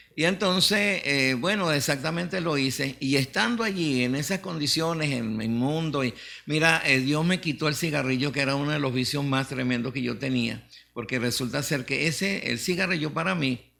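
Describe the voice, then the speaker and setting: This man's tone is bright and sharp, with a fairly high pitch. He speaks at a moderate pace with lively intonation. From Venezuela, Mérida Andes. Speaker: pastor. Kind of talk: testimony. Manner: halting, many fillers.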